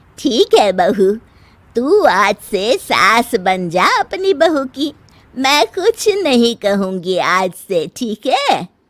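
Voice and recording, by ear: A cartoonish character voice crawls at a very slow pace with very wide pitch swings, the sound dry and close with no echo. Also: woman, fairly high pitch for a woman.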